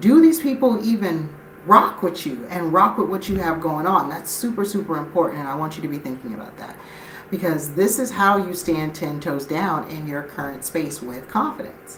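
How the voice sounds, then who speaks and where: With an American accent, a woman talks in an animated tone with lively intonation and big swings in loudness, amid noticeable background noise and audible room echo. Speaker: life and business coach. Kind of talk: live stream motivational talk. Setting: live stream. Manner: fast.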